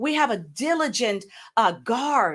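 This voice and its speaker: A woman with very wide pitch swings on a very clean recording with a silent background. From U.S. Virgin Islands. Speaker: pastor. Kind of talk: interview answer.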